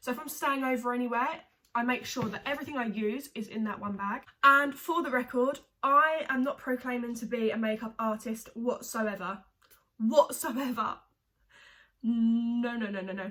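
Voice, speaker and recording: High-pitched female voice with a bright, sharp tone and an English accent. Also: ordinary pitch variation, moderate pace. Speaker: beauty vlogger. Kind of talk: casual tutorial vlog. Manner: chatty, filler-heavy.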